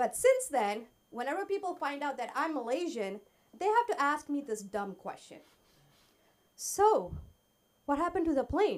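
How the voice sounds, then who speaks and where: Long, frequent pauses break up a woman's high-pitched speech, which moves in very wide pitch swings. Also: moderate pace. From Malaysia. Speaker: stand-up comedian. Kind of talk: stand-up. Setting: stage with audience.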